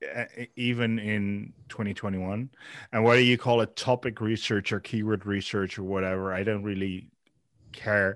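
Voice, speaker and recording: Here a man talks at a moderate pace in a fairly low pitch. His intonation is monotone and flat, and the background is quiet. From Netherlands. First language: Dutch. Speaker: software founder. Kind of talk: interview. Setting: remote call. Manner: halting, frequent repetitions.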